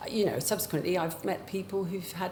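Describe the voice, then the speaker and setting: A woman speaks at a fairly quick pace with vocal fry and fairly even intonation. Audible room echo surrounds her voice. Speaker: bereaved family witness at a public inquiry. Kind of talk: testimony. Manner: halting, with false starts.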